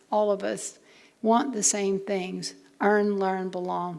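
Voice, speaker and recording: The voice has a dark, mellow tone with audible room echo around it. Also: woman. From Louisiana Cajun. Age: 70s. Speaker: university president and lecturer. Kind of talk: public lecture.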